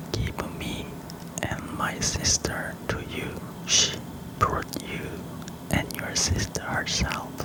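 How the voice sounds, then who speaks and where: Someone whispers at a very slow pace over noticeable background noise. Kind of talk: whispered personal storytime. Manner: whispered; soft-spoken.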